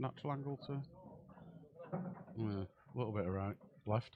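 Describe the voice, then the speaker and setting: A man speaks with a Yorkshire accent. His pace is very fast. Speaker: pool commentator. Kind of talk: live commentary. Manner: casual, chatty.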